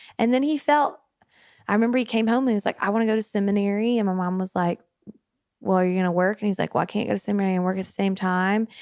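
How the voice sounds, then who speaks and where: Very fast speech from a woman with a Southern US accent, medium in pitch with ordinary variation and very even loudness, on a very clean recording with a silent background. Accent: Southern twang. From US South, Memphis, Tennessee. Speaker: worship pastor. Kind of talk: casual chat. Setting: on location in a coastal town.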